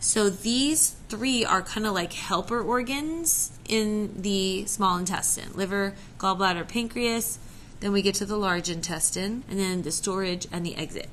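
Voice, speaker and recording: A woman speaks at a fairly slow pace. Audible room echo is present. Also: medium pitch for a woman, ordinary pitch variation. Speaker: science teacher. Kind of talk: recorded classroom lesson. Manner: casual, conversational.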